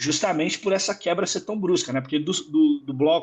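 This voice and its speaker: A man with a high voice speaks over a quiet background. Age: 30s. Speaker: guest music commentator. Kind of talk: casual chat. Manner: halting, many repetitions.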